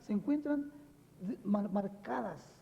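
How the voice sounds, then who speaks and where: A man with a Mexican accent. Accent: unchanged Mexican Spanish. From Mexico. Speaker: spiritual teacher. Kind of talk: TV interview. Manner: many fillers, frequent ¿verdad?.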